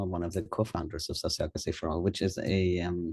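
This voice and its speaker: A man speaks with a German accent and a dark, mellow tone. The background is quiet. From Germany. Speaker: nonprofit co-founder, governance consultant. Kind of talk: webinar talk. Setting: online webinar.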